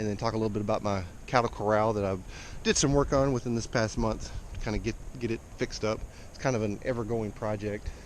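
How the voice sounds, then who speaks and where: A man speaks with a Texas accent at a fairly low pitch. His pace is fairly quick. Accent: Texas Southern US. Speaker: cattle farmer. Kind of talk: casual vlog. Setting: outdoors. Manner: halting, many fillers.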